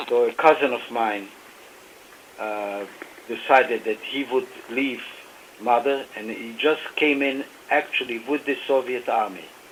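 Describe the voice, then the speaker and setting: Noticeable background noise sits behind a man with a medium pitch and ordinary pitch variation. He talks at a fairly slow pace, with long, frequent pauses. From Romania. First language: Yiddish and German. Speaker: author and Holocaust survivor. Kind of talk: radio interview. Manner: hesitant, many fillers.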